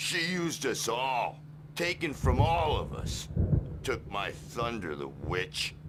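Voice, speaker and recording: Over clear background noise, a man performs a put-on character voice at a medium pitch and a fairly slow pace. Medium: video game. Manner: gruff, grumbling.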